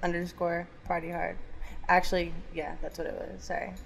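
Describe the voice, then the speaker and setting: Speaking in an American accent, a woman's voice sits fairly low in pitch. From Kansas City area, Missouri. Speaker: emergency dispatcher and dancer. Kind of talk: casual chat.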